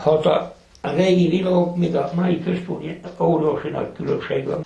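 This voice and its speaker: The speaker has a Gömör accent. Noticeable background noise is present. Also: man. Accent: Gömör Palóc dialect. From southern Slovakia. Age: old. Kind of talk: interview answer, reminiscence.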